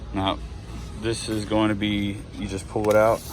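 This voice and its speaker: Amid noticeable background noise and audible room echo, a man talks at a moderate pace in a fairly low pitch with ordinary pitch variation. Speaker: tool reviewer. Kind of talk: casual product walkthrough. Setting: in a hardware store. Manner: hesitant, many fillers.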